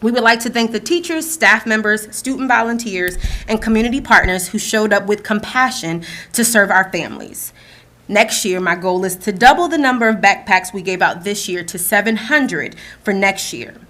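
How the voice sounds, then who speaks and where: In an American accent, a woman speaks at a fairly high pitch. Her tone is bright and sharp, with ordinary pitch variation. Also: moderate pace. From New Jersey. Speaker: school division staff presenter. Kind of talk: board meeting presentation. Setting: school board meeting in boardroom.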